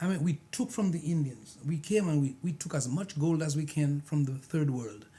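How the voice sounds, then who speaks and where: Somewhat breathy and dark, mellow in tone, this man's fairly high voice holds a very even loudness at a moderate pace with hardly any pauses. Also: ordinary pitch variation. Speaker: pastor. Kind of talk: panel discussion. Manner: animated.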